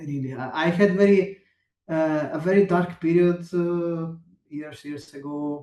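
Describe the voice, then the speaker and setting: Speaking fairly slowly with an Italian accent, a man has a high pitch and a dark, mellow tone. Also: fairly even intonation, big swings in loudness. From southern Italy, Potenza. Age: 40s. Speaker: electronic musician. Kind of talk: interview. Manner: halting, many hesitations.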